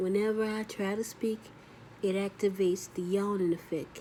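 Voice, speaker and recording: A woman is speaking. Her intonation is monotone and flat. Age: 40s. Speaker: stroke survivor vlogger. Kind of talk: casual vlog monologue. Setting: video recording for YouTube. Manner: halting with frequent pauses; delayed speech with yawning.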